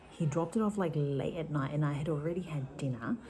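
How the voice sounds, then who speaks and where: A woman with a very deep, low pitch at a moderate pace over noticeable background noise. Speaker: vlogger. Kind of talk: casual vlog talk.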